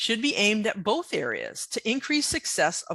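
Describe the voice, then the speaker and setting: The tone is bright and sharp. The background is quiet, and the sound is dry and close with no echo. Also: woman. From New England. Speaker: veterinary technician. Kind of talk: lecture. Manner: hesitant with many fillers.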